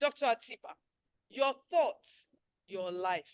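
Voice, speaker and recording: A woman speaks at a fairly slow pace with very wide pitch swings and an animated tone. The sound is dry and close, with no echo. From Nigeria. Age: 60s. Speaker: webinar host. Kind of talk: casual chat.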